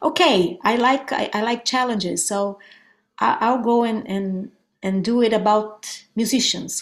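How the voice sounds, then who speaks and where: A woman's fairly high voice at a fairly slow pace. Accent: Brazilian Portuguese. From Brazil. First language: Portuguese. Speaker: guitarist and songwriter. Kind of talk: interview.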